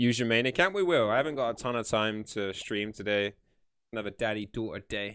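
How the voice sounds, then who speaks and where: Animated and at a fairly quick pace, a man with a British accent speaks at a medium pitch with ordinary pitch variation. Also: very clean recording, silent background. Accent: UK. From UK. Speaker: gaming streamer. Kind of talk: live stream chat. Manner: casual, animated.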